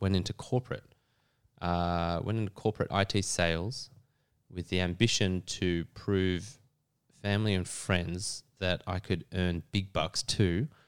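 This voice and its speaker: A man's very deep, low voice in an Australian accent, at a very slow pace with fairly even intonation, on a very clean recording with a silent background. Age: 40s. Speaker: actor. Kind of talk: interview.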